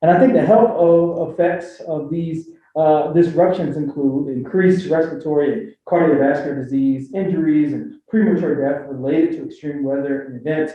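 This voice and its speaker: A man's fairly high voice in a Philadelphia accent, at a moderate pace with hardly any pauses and ordinary pitch variation, in audible room echo. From Philadelphia, US. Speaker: health equity director, panelist. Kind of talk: panel talk.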